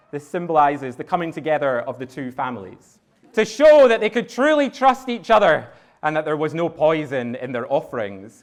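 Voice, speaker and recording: Energetic and fairly quick, a man with a Scottish accent speaks in a fairly high pitch with very wide pitch swings. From Scotland. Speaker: wedding celebrant. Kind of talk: wedding ceremony officiating. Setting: outdoors wedding venue, live audience. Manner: energetic, engaging, fun.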